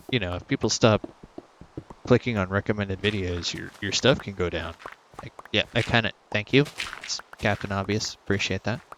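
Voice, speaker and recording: Against noticeable background noise, a man with a fairly low pitch speaks at a moderate pace, with long, frequent pauses, big swings in loudness and ordinary pitch variation. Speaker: gaming YouTuber. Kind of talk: casual commentary. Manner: soothing, relaxed.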